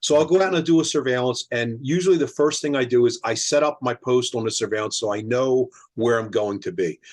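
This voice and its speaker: Against a quiet background, a medium-pitched man rattles along at a very fast pace with lively intonation and hardly any pauses. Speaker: private investigator. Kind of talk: casual chat.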